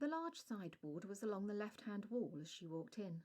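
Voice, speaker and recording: Somewhat breathy and dark, mellow in tone, the voice moves at a moderate pace through very wide pitch swings. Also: woman. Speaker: author reading her own story. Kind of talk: audiobook narration of a vampire short story.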